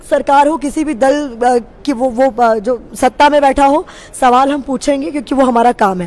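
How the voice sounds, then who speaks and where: A woman with a high pitch and ordinary pitch variation speaks at a moderate pace over noticeable background noise. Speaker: TV news reporter. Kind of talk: casual conversation. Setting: social media live video. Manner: animated.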